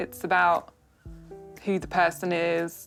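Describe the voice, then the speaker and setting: A woman talks at a very slow pace with a fairly low pitch. Music plays in the background. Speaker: portrait artist. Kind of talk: interview answer.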